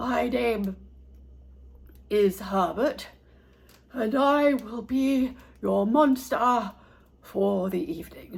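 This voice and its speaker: In a put-on character voice, the speaker uses a fairly high pitch, a very slow pace, and long, frequent pauses. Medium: read story. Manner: polite, fussy.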